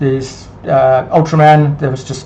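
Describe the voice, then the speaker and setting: Over noticeable background noise and with audible room echo, a man speaks in a monotone, flat intonation at a moderate pace and medium pitch. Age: 60s. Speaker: fitness coach. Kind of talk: casual talk to camera. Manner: halting, many fillers and repetitions.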